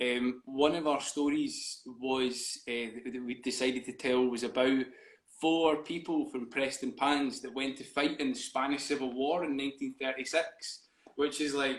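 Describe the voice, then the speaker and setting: At a fairly slow pace, the speaker delivers flat, monotone intonation in a Scottish accent. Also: man, fairly high pitch for a man. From Scotland, East Lothian. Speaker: theatre company co-founder. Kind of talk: interview. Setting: live video stream. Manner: halting, many fillers.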